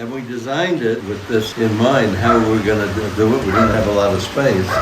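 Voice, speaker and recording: Over noticeable background noise and audible room echo, a man with an American accent speaks at a fairly quick pace, fairly low in pitch with ordinary pitch variation. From New York, Brooklyn. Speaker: homeowner. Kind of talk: casual chat.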